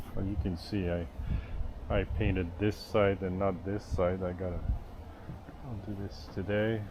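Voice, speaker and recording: Clear reverberation from the room, plus background noise that is easy to notice. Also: man. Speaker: boat builder and video maker. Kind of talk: casual vlog talk to camera. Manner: hesitant, many fillers.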